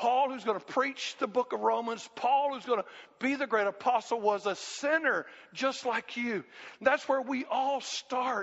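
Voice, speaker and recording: Speaking with a Southern US accent, a man with an extremely high pitch shows ordinary pitch variation. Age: 60s. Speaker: pastor. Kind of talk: sermon. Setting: church. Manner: animated.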